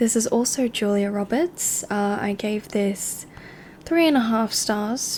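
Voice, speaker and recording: The speaker is soft-spoken and relaxed in tone, going at a fairly slow pace. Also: woman, fairly high pitch for a woman, ordinary pitch variation. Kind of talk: movie recommendation review, casual talk to camera. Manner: soft-spoken, relaxed.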